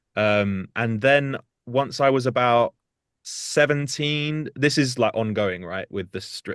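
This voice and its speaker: A man with a British accent speaks against a quiet background. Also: dry, close sound with no echo. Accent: UK. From South Hertfordshire, near North London. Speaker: singer and musician. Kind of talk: interview chat. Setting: studio.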